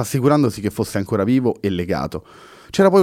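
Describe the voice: Someone simply reads a text aloud in a plain way.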